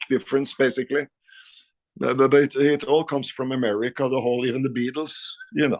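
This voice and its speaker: A man's medium-pitched voice with a Norwegian accent and fairly even intonation, dry and close with no echo. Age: 50s. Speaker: rock guitarist. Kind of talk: casual interview. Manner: halting, repeats words.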